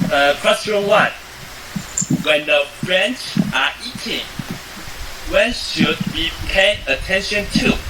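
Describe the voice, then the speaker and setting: Over noticeable background noise, a man with a Taiwanese accent talks at a very slow pace with long, frequent pauses. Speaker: student interviewer. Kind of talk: interview. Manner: halting.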